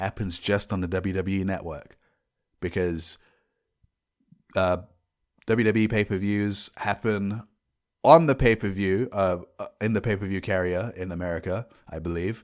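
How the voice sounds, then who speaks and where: In a London accent, a man with a fairly low pitch and ordinary pitch variation talks at a moderate pace with long, frequent pauses, on a very clean recording with a silent background. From England, London. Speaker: podcast host. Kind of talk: casual solo podcast.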